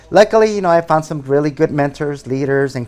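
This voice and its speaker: A man with a Spanish accent at a fairly quick pace, over noticeable background noise. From Mexico (Veracruz), raised in Madera, California from age ten. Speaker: real estate agent, former school principal. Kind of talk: interview.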